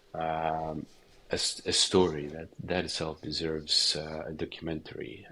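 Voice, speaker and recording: A man with a Ukrainian accent speaks slowly in a very deep, low-pitched voice with a bright, sharp tone and monotone, flat intonation. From eastern Ukraine, near Russian border. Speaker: documentary director and journalist. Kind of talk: interview. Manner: halting, many fillers and repetitions.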